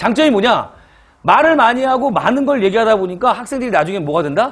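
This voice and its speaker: Here a man speaks at a fairly quick pace. His pitch is high. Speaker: chemistry lecturer for civil service exam prep. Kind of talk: lecture. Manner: fast; loud.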